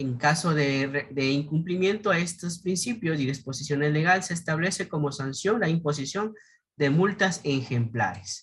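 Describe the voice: Ordinary pitch variation at a moderate pace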